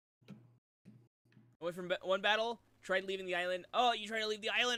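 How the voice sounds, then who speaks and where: A man raises and projects his high-pitched voice. His tone is bright and sharp, and his intonation fairly even. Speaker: streamer. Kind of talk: casual chat.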